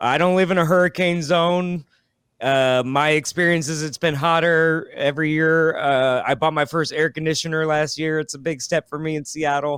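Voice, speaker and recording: A man with a normal speaking voice talks at a moderate pace and a fairly high pitch. His intonation stays fairly even. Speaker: comedian. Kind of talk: casual chat.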